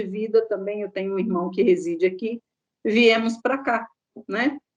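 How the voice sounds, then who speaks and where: A woman with an unremarkable speaking voice keeps a moderate pace, her pitch shifting in an ordinary way. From Minas Gerais, Brazil. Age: 60s. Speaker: contact center employee. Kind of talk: interview.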